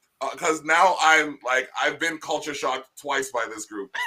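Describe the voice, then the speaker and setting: A man's fairly high, bright and sharp voice, animated in tone, at a fairly slow pace. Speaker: podcast host. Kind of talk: casual chat.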